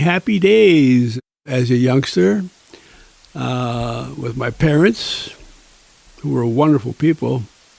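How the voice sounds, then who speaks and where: A man speaks at a very slow pace with a medium-pitched voice. Noticeable background noise runs under the recording. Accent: American. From Niagara Falls, New York. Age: 90s. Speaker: retired teacher and author. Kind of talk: interview storytelling. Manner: spry, vibrant.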